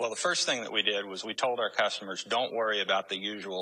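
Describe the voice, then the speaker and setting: Very fast speech from a man with a fairly low pitch and ordinary pitch variation, over noticeable background noise. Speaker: central bank official, interviewee. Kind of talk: interview.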